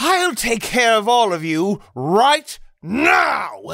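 Using a put-on character voice at a fairly high pitch, the speaker moves very slowly through very wide pitch swings. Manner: gruff, menacing.

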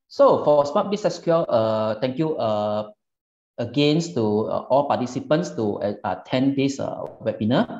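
Audible room echo surrounds a man over a quiet background. He talks at a fairly slow pace. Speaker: presenter. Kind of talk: webinar presentation. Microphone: webcam.

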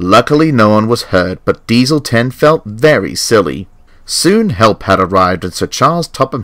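The intonation rises and falls in a lively way. It is an unforced reading voice.

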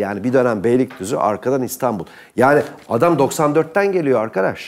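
At a moderate pace, a man speaks in an animated tone with lively intonation. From Turkey. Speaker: political commentator. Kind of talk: heated debate. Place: studio. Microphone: lapel.

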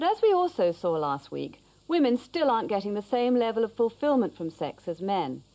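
Speaking at a fairly quick pace, a woman with a medium pitch and slightly mellow tone makes big pitch swings.

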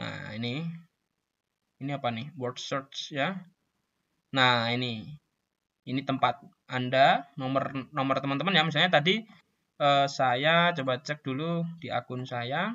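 A man speaks at a fairly slow pace with a fairly high pitch, ordinary pitch variation, and long, frequent pauses. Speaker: scout youth leader. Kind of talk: tutorial. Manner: casual, with fillers.

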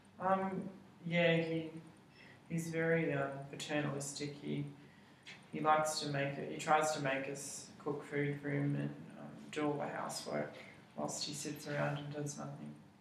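Long, frequent pauses break up a moderate pace. Light background noise and audible room echo are present. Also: man. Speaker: interviewee. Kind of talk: interview answer. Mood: hesitant, slightly uneasy. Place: meeting room. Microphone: camera far.

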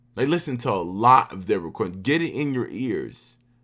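A man with an American accent speaks at medium pitch and a moderate pace, with very wide pitch swings, against a quiet background. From US South. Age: 30s. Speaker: orchestral oboist; guest. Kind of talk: workshop talk. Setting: video call. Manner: casual. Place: home room.

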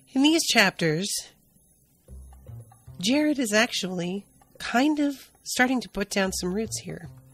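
Music plays in the background as a woman speaks. Her pace is fairly slow, with very wide pitch swings. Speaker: podcast host. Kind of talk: podcast book discussion. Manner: casual, conversational.

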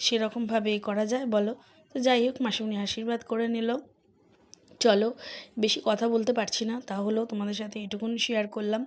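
A woman speaks at a fairly high pitch. Her intonation stays monotone and flat. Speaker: family vlogger. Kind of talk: casual vlog narration.

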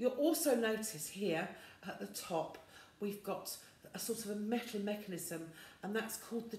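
A somewhat breathy woman's voice with ordinary pitch variation and audible room echo. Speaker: music teacher. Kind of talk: tutorial. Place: home room. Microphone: phone near.

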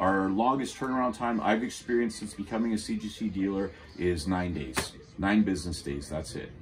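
Against noticeable background noise, a man with a fairly low pitch talks at a fairly quick pace. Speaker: comic shop owner. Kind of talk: casual show-and-tell commentary. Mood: enthusiastic, friendly. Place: shop. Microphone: camera far.

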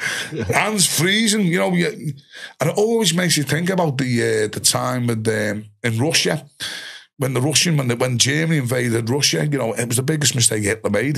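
A man with a Liverpool accent at a moderate pace, against a quiet background. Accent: Scouse (Liverpool). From Liverpool, England. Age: 50s. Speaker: ex-soldier and musician; podcast guest. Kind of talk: casual interview chat. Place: studio. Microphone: studio mic.

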